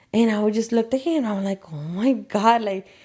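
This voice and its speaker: This woman speaks at a fairly high pitch with ordinary pitch variation. The recording is very clean, with a silent background. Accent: Spanish. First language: Spanish. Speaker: hair salon owner. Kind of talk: interview. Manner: animated.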